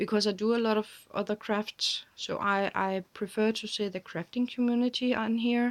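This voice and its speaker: Delivered at a moderate pace, the speech is monotone and flat, recorded with a dry, close sound with no echo. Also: woman, fairly high pitch for a woman. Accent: Danish. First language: Danish. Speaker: crafting vlogger. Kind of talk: casual chat. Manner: halting.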